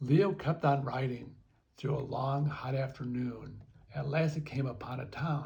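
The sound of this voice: The clip features an unforced reading voice, delivered with fairly even intonation.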